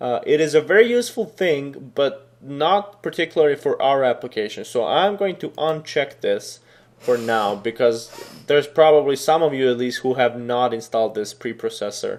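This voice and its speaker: A man with a Serbian accent talks at a moderate pace. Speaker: programming tutor. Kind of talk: screen-recorded tutorial. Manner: casual, with many fillers.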